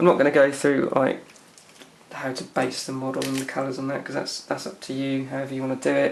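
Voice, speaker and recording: A man with an English accent and a medium pitch, talking at a very fast pace in a monotone, flat intonation, with audible room echo and noticeable background noise. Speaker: hobbyist miniature painter. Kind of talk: tutorial. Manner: casual, hesitant with fillers.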